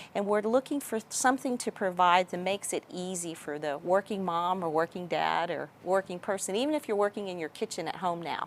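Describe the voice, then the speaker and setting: In a Texas accent, a woman talks at a fairly quick pace with hardly any pauses, medium pitch and ordinary pitch variation. The recording is very clean with a silent background, dry and close with no echo. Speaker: business executive. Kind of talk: interview.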